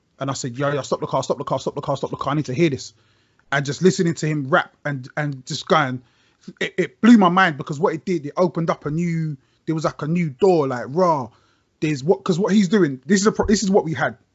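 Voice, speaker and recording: Very fast delivery from a man, pitched fairly high, with ordinary pitch variation. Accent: London. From South London, Brixton. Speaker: rapper. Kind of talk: casual chat. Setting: video call.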